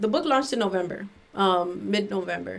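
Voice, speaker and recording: A woman speaks in a plain, everyday voice with an American accent. Her pace is moderate and her pitch variation ordinary. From Miami, Florida. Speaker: artist and author. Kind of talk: casual interview, poetry reading.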